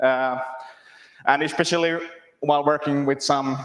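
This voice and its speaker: A man speaks with a Finnish accent. His voice is medium in pitch. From Finland. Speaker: software developer, conference speaker. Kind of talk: conference talk. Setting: stage with audience.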